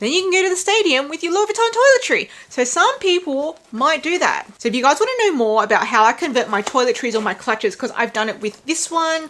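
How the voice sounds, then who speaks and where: A woman with an Australian accent, extremely high in pitch, at a very fast pace with very wide pitch swings and hardly any pauses, over noticeable background noise. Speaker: handbag vlogger. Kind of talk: casual review vlog.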